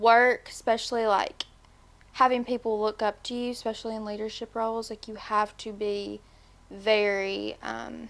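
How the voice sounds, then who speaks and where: A woman speaks with a Tennessee accent in a fairly high pitch and monotone, flat intonation. Her loudness swings widely, and the recording is very clean with a silent background. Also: moderate pace. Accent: Southern US (Tennessee). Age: 20s. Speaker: podcast guest, manager. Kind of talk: casual interview.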